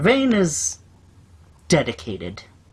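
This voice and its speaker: A man's put-on character voice with a fairly high pitch. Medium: actual play. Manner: warm, fatherly.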